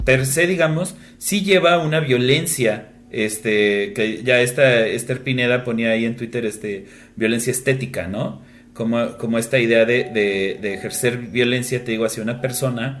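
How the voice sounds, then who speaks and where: Speaking in a medium pitch, a man keeps ordinary pitch variation and a moderate pace. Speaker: podcast co-host. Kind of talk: casual chat. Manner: halting, many fillers.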